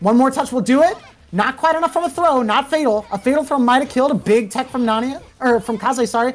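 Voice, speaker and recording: A woman's high-pitched voice at a very fast pace. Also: ordinary pitch variation. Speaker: fighting game commentator. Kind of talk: live commentary. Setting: livestream. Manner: animated.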